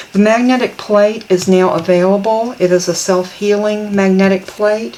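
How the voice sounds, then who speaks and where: With a Southern US accent, a woman speaks at medium pitch and a fairly slow pace, her intonation fairly even, while noticeable background noise plays. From US South. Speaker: papercraft product demonstrator. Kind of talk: tutorial. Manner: casual, chatty.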